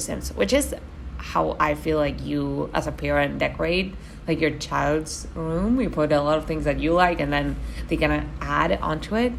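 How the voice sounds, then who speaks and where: A woman with a Spanish accent speaks at a fairly slow pace, with audible room echo. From Argentina. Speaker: gaming YouTuber. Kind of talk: voiceover commentary. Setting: voiceover recording at home. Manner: casual, many fillers and repetitions.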